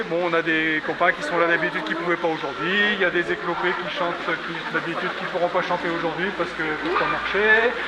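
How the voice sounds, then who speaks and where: A man talks at a fairly quick clip with hardly any pauses, his pitch high and his intonation fairly even. Noticeable background noise runs under his voice. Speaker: walk leader and traditional singing organizer. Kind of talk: outdoor group briefing. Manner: casual, conversational; not very loud.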